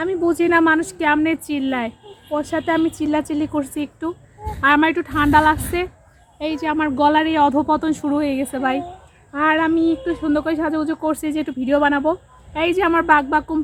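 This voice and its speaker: A woman speaks in a high, flat monotone. Noticeable background noise runs under her voice. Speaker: vlogger and mother. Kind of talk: casual vlog talk, partly baby talk to her child.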